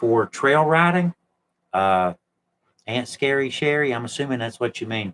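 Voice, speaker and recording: A man with lively intonation, in a dry, close sound with no echo. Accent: Appalachian. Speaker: YouTube channel host, explorer of historic places. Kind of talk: casual live stream chat, reading viewer comments. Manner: relaxed, conversational.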